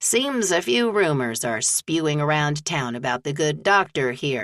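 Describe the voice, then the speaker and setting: A woman's put-on character voice, very deep and low in pitch, with lively intonation at a moderate pace. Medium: read story. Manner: folksy, hearty.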